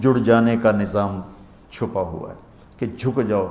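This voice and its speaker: A man speaks over music playing in the background. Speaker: Islamic scholar. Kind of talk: religious sermon.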